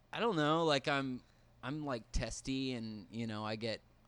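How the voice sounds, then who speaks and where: A plain, everyday voice from a man at a fairly slow pace, with ordinary pitch variation, on a very clean recording with a silent background. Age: 20s. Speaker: guest. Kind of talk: casual chat.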